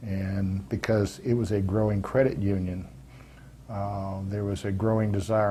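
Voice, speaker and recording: A man with a fairly low pitch and a dark, mellow tone speaks somewhat breathily at a fairly slow pace. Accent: American. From US, military family moving often. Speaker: retired army veteran and credit union board member. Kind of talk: oral history interview. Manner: hesitant, many filler words.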